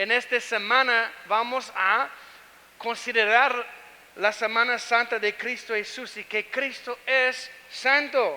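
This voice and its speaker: A man with an American accent speaks in a raised, projected voice at an extremely high pitch. His pace is very slow and his intonation fairly even. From United States. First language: English (speaking Spanish). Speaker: pastor. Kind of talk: sermon. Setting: church. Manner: halting.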